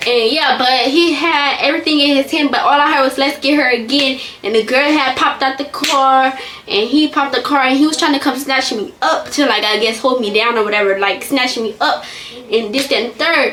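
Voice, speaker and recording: Fairly quick and high-pitched, a woman speaks with ordinary pitch variation amid noticeable background noise. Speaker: vlogger. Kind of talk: storytime. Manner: halting.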